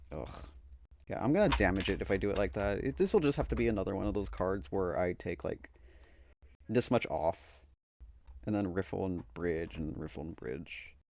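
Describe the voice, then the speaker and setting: In a very clean recording with a silent background, a man with a very deep, low voice and vocal fry moves at a fairly quick pace through very wide pitch swings, with long, frequent pauses. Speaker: tarot YouTuber. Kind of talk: casual chat.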